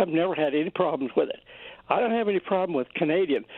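High male voice, its pitch varying in an ordinary way. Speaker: caller. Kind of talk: call-in comment. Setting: phone call.

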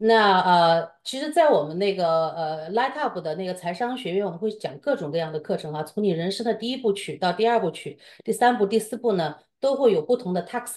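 A woman talks at a fairly quick pace with hardly any pauses. Her intonation is lively. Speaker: co-host of the seminar, professional advisor; co-host of the seminar. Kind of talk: seminar intro and commentary. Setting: online seminar, video call with screen sharing. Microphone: video call.

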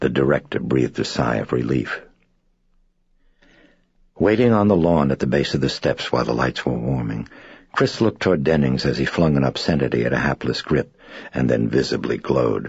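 A man speaks with a very deep, low pitch and vocal fry, at a fairly quick pace with very even loudness. Long, frequent pauses break up his speech, and the sound is dry with no echo. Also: ordinary pitch variation, quiet background. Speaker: author reading own novel. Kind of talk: audiobook narration.

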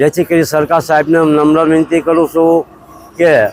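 The recording has a dry, close sound with no echo as a man speaks at a fairly high pitch. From Gujarat, Ahmedabad district (Bavla). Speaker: farmer. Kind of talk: interview. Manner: halting.

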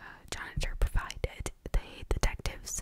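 Whispering, a woman speaks at a fairly slow pace. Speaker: storyteller. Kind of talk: casual storytelling narration. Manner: soft close-mic ASMR voice. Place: home room. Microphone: studio mic.

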